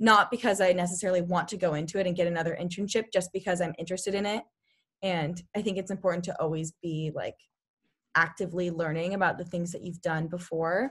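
A somewhat breathy woman's voice, fairly low in pitch, with an American accent, fairly even intonation and a very fast pace, on a very clean recording with a silent background. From California, Sacramento. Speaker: college student and club president. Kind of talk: casual interview.

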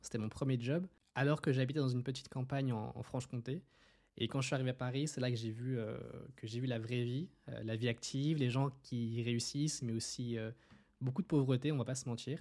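His intonation is fairly even and his pitch medium. This man uses a normal speaking voice. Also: very clean recording, silent background. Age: 20s. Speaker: podcast host and clothing brand entrepreneur. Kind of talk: casual monologue.

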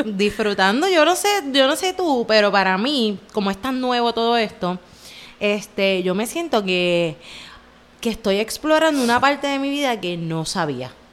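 A woman in a Puerto Rican accent speaks at a fairly slow pace and a fairly high pitch, with very wide pitch swings. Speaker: podcast co-host. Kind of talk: casual chat.

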